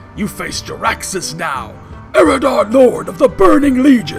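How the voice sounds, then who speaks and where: With clear music in the background, a man does a put-on character voice in a high pitch at a moderate pace. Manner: menacing, proclaiming.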